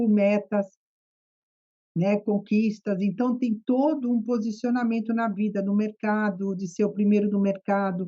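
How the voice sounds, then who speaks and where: This woman talks at a fairly slow pace with a medium pitch and a Brazilian accent. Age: 60s. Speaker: psychotherapist. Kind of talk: podcast interview.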